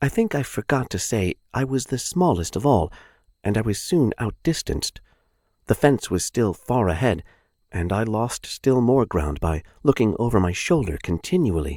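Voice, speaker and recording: A man puts on a husky character voice at medium pitch and moderate pace, with very wide pitch swings, in a dry, close sound with no echo on a very clean recording with a silent background. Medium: read story. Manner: polite, gentle, dogmatic.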